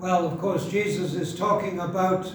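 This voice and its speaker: Audible room echo and noticeable background noise surround a man who speaks at a moderate pace in a high voice. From Wales (North Wales, near Wrexham). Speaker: pastor. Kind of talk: sermon.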